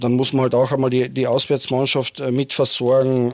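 A man is speaking. There is no echo, and the sound is dry and close. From Austria, Carinthia (Lavanttal). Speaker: team doctor and trauma surgeon. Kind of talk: casual interview. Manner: halting, with repetitions.

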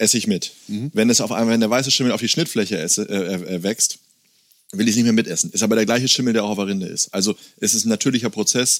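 A man with a fairly low pitch and fairly even intonation has an ordinary speaking voice. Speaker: farm owner and cheesemaker. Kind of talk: casual interview with cheese tasting. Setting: on the farm, face to face.

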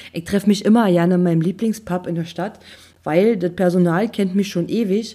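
A woman's dark, mellow tone at a medium pitch, fairly quick and fairly even in intonation, on a very clean recording with a silent background. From eastern Germany. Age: 30s. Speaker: podcast host. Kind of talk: casual monologue.

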